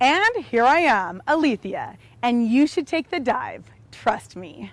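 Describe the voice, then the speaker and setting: Very wide pitch swings mark a woman's high voice as she speaks at a very slow pace. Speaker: web show presenter. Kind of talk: scripted news presentation; casual chat. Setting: outdoors in a park.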